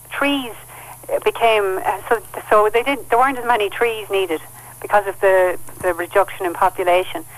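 A woman speaks at a medium pitch with a southeastern Irish accent. Her pace is moderate and her pitch varies in an ordinary way. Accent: Irish (south-east). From Kilkenny and Carlow, Ireland. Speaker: author. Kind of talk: interview.

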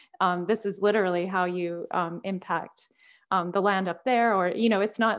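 Speaking with a Canadian accent, a woman keeps a medium pitch and fairly even intonation. Her pace is moderate, and the background is quiet. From Canada, Alberta. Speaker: artist and professor. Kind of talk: interview. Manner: halting, many fillers.

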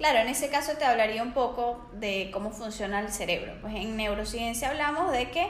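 Speaking at a moderate pace in a Venezuelan accent, a woman uses a high pitch and ordinary pitch variation, with audible room echo. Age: 20s. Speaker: psychologist and life coach. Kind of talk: podcast interview.

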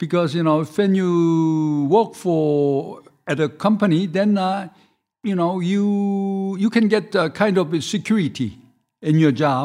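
A man with a Korean accent speaks at a very slow pace in a dark, mellow tone and high pitch, with ordinary pitch variation over a quiet background. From South Korea. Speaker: restaurant owner. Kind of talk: casual interview. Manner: halting.

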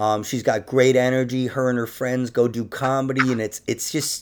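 Here is an ordinary speaking voice from a man at medium pitch. He talks at a fairly quick pace on a very clean recording with a silent background. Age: 40s. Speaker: podcast host and comedian. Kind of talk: casual chat.

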